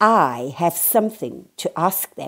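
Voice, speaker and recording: A woman does a put-on character voice, growling at a fairly slow pace with very wide pitch swings, on a very clean recording with a silent background. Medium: read story. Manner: growling, commanding.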